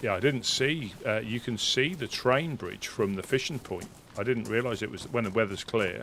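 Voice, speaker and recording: Voice with a Suffolk accent, vocal fry, ordinary pitch variation and a moderate pace. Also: man, medium pitch for a man. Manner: casual, chatty.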